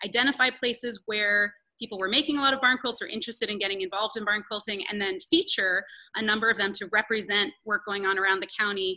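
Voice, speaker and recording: Talking at a very fast pace, a woman has a bright, sharp tone and ordinary pitch variation against a quiet background. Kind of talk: interview answer. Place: hall. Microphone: video call.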